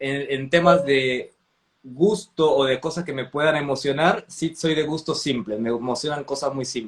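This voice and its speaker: Talking at a fairly slow pace, a man has an ordinary speaking voice with ordinary pitch variation. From Mexico (Veracruz, Chiapas). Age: 30s. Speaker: architect and theatre director. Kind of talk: casual interview chat.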